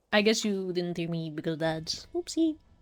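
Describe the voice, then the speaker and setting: A woman speaks quietly, her pitch swinging very widely. The recording is very clean, with a silent background. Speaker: streamer. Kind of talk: casual gaming livestream chat. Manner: kept quiet because it is late.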